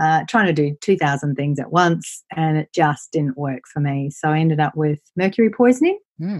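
A woman's very deep, low voice in an Australian accent, with ordinary pitch variation and hardly any pauses. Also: moderate pace. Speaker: property investment and wealth coach. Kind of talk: interview.

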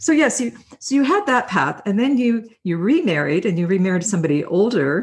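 A woman's somewhat breathy voice with lively intonation and an enthusiastic tone. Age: 60s. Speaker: podcast host and life coach. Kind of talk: interview.

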